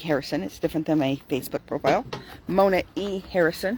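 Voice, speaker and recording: With ordinary pitch variation, a woman speaks in a very deep, low voice. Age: 60s. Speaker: vlogger giving daily life and faith tips. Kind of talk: casual talk to camera with Bible reflection. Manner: slow; occasionally slurred words.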